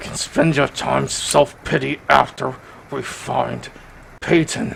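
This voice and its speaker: Over clear background noise, a man performs a raspy put-on character voice with a very deep, low pitch. He goes at a fairly slow pace, with very wide pitch swings and big swings in loudness. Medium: actual play. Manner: urgent, stubborn.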